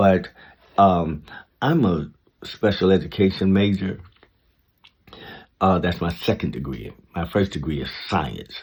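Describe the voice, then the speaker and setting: A man speaks in a very deep, low pitch with vocal fry and ordinary pitch variation, at a fairly slow pace with long, frequent pauses, on a very clean recording with a silent background. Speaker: vlogger giving life advice. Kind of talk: casual monologue. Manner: halting.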